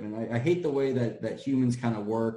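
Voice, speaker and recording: A man with an American accent and a dark, mellow tone, amid audible room echo. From US, Washington D.C. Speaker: local political candidate. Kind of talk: casual interview.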